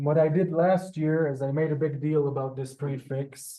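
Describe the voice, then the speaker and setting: A man's voice sits at a fairly high pitch, with fairly even intonation. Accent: Israeli. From Israel. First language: Hebrew. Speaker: Hebrew teacher. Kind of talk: language class. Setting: classroom with Zoom. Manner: halting, many fillers.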